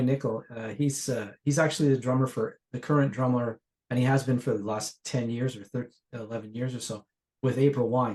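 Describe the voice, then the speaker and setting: Here is a man with an ordinary speaking voice and a Canadian accent. He keeps a medium pitch, fairly even intonation and a moderate pace. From Ontario, Canada. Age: 60s. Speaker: session guitarist. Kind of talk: casual interview chat.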